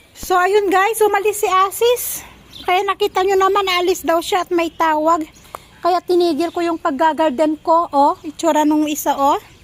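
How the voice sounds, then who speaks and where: An extremely high female voice at a moderate pace, with noticeable background noise. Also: ordinary pitch variation. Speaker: home vlogger, parent. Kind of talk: casual vlog narration. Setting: outdoors, home garden.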